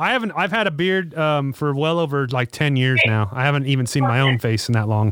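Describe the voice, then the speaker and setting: A man speaks at a fairly quick pace with lively intonation, a fairly high pitch and hardly any pauses, in an ordinary speaking voice. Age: 30s. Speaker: motorcycle shop podcast host. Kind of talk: casual chat. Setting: video call.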